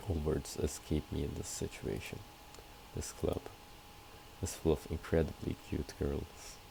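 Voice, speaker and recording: The speech moves at a fairly slow pace with long, frequent pauses. Noticeable noise sits in the background. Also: man. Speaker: gamer. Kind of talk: let's play commentary. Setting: home recording with background noise. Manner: quiet, low volume.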